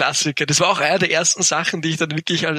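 Speaking in a monotone with flat intonation, a man uses a fairly high-pitched voice with a bright, sharp tone. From Upper Austria. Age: 20s. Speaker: entrepreneur. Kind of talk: interview. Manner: hesitant, many fillers.

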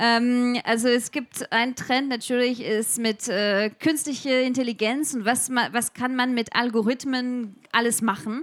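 A woman's high-pitched voice, fairly slow, with fairly even intonation. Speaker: edtech researcher and startup founder. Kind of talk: interview before a live audience. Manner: halting, many fillers.

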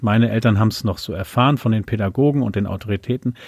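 In a very clean recording with a silent background, a man speaks in a normal speaking voice at a medium pitch, with ordinary pitch variation and a dry, close sound with no echo. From Lower Saxony, Lüneburg Heath. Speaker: Low German language activist and singer. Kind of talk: interview conversation. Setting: home office.

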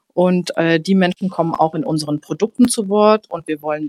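A woman with an ordinary speaking voice talks at a fairly low pitch and a moderate pace, with ordinary pitch variation. The sound is dry and close, with no echo. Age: 20s. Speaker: newspaper editor. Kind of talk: casual chat.

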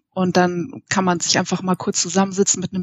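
Somewhat breathy at a medium pitch, a woman speaks at a fairly quick pace. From Munich, Bavaria. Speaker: IT consultant. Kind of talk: interview. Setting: at home, remote call.

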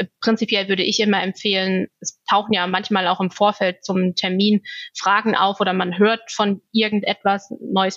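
Her intonation flat and monotone, a woman talks at a moderate pace. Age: 30s. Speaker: asthma patient. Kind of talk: interview.

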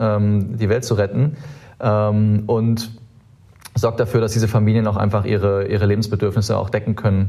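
The voice is somewhat breathy with a dark, mellow tone, moving at a moderate pace in a monotone, flat intonation. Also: man. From Germany, Saarland. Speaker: startup co-founder. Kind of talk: interview conversation. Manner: hesitant, many filler sounds.

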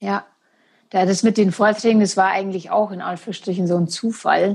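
The background is quiet as this woman talks, her intonation fairly even. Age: 30s. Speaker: naturopath and amputee. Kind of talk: interview about her life story. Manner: halting with many fillers.

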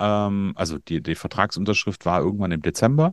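With a plain, everyday voice, a man talks at a fairly quick pace with lively intonation, the sound dry and close with no echo over a quiet background. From Germany, northern Hesse. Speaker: coach for media designers and podcast agency owner. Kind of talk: interview.

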